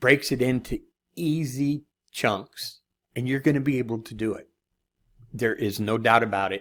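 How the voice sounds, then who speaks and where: With long, frequent pauses, a man talks at a medium pitch with ordinary pitch variation. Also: moderate pace, quiet background. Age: 60s. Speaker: online marketing course reviewer. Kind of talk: screen-share product review. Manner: casual, conversational. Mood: encouraging, reassuring. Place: home room.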